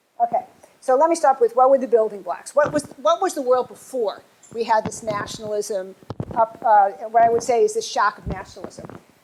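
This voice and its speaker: In an American accent, a woman talks at a fairly quick pace with a fairly high pitch and lively intonation, over noticeable background noise. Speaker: professor. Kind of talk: lecture. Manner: fast.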